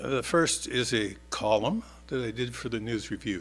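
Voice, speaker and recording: A man's medium-pitched voice with vocal fry moves at a fairly slow pace with ordinary pitch variation. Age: 70s. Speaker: author and newspaper columnist. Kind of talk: casual spoken introduction; reading aloud of own essays at a church service. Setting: church service. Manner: halting, many fillers.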